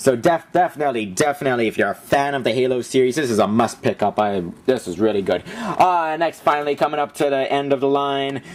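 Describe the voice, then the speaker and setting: A man talks at a fairly quick pace with a medium pitch. His pitch varies in an ordinary way, and there is noticeable background noise. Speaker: vlogger reviewing his DVD collection. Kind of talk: casual video review. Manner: fast; animated.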